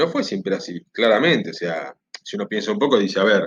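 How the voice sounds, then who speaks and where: A man speaks at a moderate pace. His fairly low voice carries lively intonation. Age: 40s. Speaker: history teacher. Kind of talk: recorded class introduction to students. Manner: casual, with hesitations.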